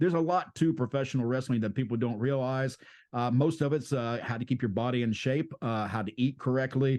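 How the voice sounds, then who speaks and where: An unremarkable speaking voice with an American accent shows ordinary pitch variation over a quiet background. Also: man, medium pitch for a man. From US South. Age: 60s. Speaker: pro wrestler and podcast host. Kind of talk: interview.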